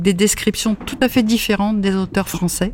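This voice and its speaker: A woman speaks at a moderate pace. Her intonation is monotone and flat, with noticeable background noise. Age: 70s. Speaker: library patron. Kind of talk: casual chat.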